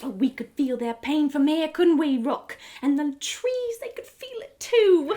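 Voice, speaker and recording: A woman's high-pitched put-on character voice with very wide pitch swings. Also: moderate pace. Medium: read story. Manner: soft, affectionate, coaxing.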